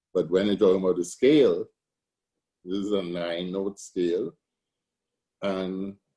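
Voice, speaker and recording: A man with a Trinidadian accent speaks at a moderate pace in a fairly low pitch. His tone is dark and mellow. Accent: Trinidad and Tobago English. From Tobago. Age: 60s. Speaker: steelpan musician and arranger. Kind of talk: interview.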